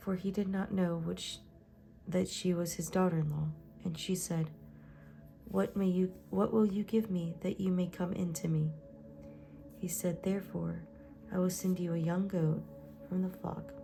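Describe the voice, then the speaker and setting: A woman speaks in a gentle tone with long, frequent pauses over music in the background. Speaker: Bible reader / ASMR channel host. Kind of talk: soft-spoken Bible reading, read-along. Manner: soft-spoken, gentle, slow with some pauses.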